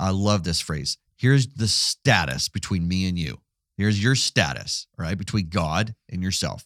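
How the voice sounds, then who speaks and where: In a very clean recording with a silent background and a dry, close sound with no echo, a man with a normal speaking voice talks at a moderate pace with a fairly low pitch and lively intonation. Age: 40s. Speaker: pastor and podcast co-host. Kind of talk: casual theological discussion.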